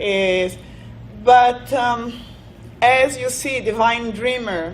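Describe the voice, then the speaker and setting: A woman with a non-native accent and fairly high pitch, at a very slow pace, with audible room echo. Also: ordinary pitch variation. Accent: noticeable foreign. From Brazil, raised in Italy. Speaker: business owner. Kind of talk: interview. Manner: hesitant.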